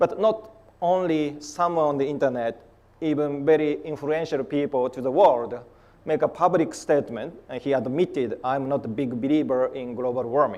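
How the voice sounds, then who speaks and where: A man speaks with a Japanese accent in a dark, mellow tone at a fairly high pitch. His pace is moderate and his pitch varies in an ordinary way. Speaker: polar scientist. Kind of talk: conference talk. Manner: halting.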